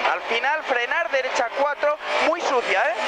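Very slow speech over loud background noise. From Spain. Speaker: rally co-driver. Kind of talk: rally co-driver reading pace notes. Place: car. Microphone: headset.

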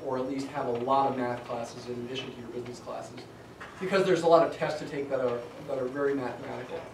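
A man talks while noticeable background noise is audible. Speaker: college statistics instructor. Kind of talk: lecture. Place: classroom. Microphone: camera far.

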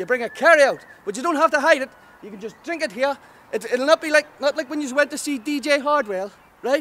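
A man with an extremely high pitch speaks in a raised, projected voice at a fairly quick pace, showing ordinary pitch variation and big swings in loudness. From Northern Ireland. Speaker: stand-up comedian. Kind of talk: stand-up comedy promo with live-style ranting. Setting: direct-to-camera promo video. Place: waterside. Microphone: phone near.

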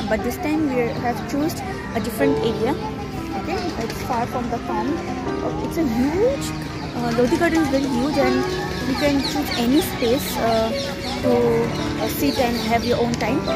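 Moderate-paced speech with long, frequent pauses, loud background music, and a dry sound with no echo. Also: woman. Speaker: vlogger. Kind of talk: casual vlog chat. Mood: relaxed, cheerful. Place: garden. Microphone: phone near.

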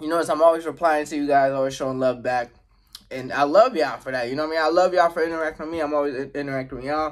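Keeping his intonation fairly even, a man talks at a very fast pace over a quiet background. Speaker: mukbang vlogger. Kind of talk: casual vlog chat. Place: home room. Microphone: phone near.

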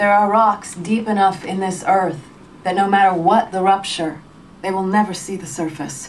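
Light background noise can be heard. Through it, a woman talks. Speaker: audiobook narrator. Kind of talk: audiobook narration. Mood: calm, measured literary reading. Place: booth.

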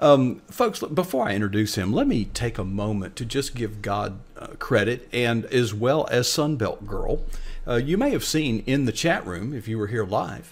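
At a moderate pace with hardly any pauses, a man talks with ordinary pitch variation. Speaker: host of an online show. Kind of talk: show host introduction. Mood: warm, earnest. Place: home room. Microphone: webcam.

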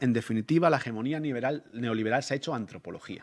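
A man with ordinary pitch variation over a quiet background. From Spain, Móstoles (Madrid area); Spain. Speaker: anthropologist and researcher; conference speaker. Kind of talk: academic lecture. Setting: conference hall with audience. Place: hall. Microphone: podium.

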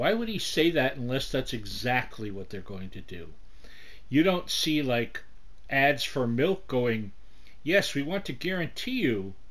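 This man's voice moves through very wide pitch swings. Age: 60s. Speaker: video blogger; vlogger. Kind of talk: casual monologue. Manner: rambling, with many fillers. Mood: wry, sarcastic. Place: home room. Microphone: webcam.

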